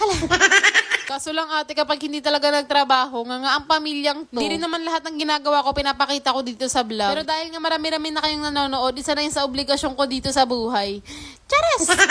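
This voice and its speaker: Noticeable background noise runs under very fast speech with fairly even intonation. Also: woman, high pitch for a woman. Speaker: vlogger. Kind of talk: vlog voice-over. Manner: casual, unscripted. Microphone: no microphone, speaks into speaker.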